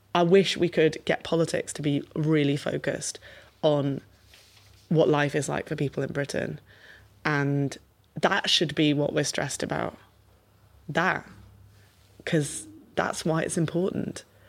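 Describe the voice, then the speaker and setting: A woman in a Liverpool accent speaks with a very deep, low pitch and monotone, flat intonation. She talks at a fairly slow pace with long, frequent pauses. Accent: Liverpool (Scouse). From Merseyside, England. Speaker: politician. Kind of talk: interview.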